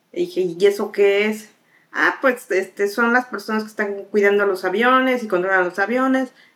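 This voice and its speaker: A woman with an ordinary speaking voice, fairly high in pitch, at a moderate pace and with ordinary pitch variation. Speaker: air traffic controller. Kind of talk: interview conversation.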